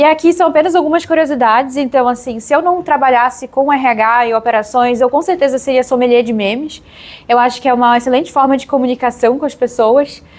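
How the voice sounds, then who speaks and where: In a Pará accent, a woman speaks at a high pitch with ordinary pitch variation. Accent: Pará accent, drawn-out S. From Brazil, Pará (northern Brazil). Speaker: HR professional, meetup speaker. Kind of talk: conference talk. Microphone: audio problems in much of the video.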